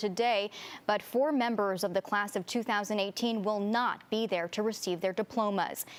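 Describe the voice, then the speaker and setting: A woman with a plain, everyday voice speaks at a fairly high pitch. Her intonation is fairly even and her loudness very even. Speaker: TV news anchor and reporter. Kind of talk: TV news anchor read.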